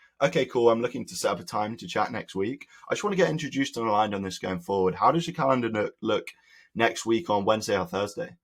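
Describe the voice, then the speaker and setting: Putting on a raspy character voice, a man with a medium pitch talks at a very fast pace. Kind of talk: business, professional. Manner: assertive, confident.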